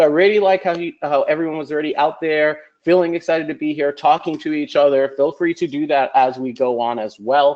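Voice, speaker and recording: Fairly quick delivery from a man, fairly high in pitch, with ordinary pitch variation and hardly any pauses. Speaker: online course lecturer. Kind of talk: online lecture. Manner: fast; animated.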